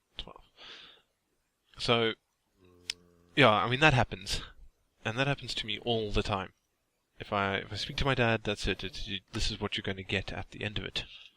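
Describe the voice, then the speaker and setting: Fairly low in pitch, a man speaks with fairly even intonation and a bright, sharp tone at a moderate pace with long, frequent pauses, in a dry, close sound with no echo on a very clean recording with a silent background. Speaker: gaming YouTuber. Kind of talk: casual let's play commentary. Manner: hesitant, repeats words.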